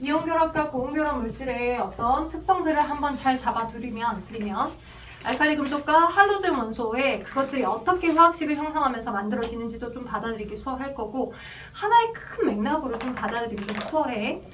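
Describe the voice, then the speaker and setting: With noticeable background noise and audible room echo, a woman speaks at a fairly quick pace in a high pitch with lively intonation. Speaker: chemistry tutor. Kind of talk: lecture. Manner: fast.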